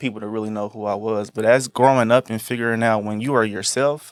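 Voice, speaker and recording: A man talks at a very fast pace with fairly even intonation. The recording is very clean, with a silent background. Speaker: fashion designer. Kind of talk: casual chat. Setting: studio. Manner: soft-spoken.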